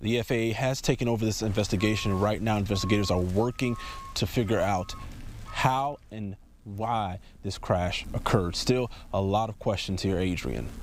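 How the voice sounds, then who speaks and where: This man has an unremarkable speaking voice at a fairly low pitch. He keeps a moderate pace with ordinary pitch variation. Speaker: TV news reporter. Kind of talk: TV news field report.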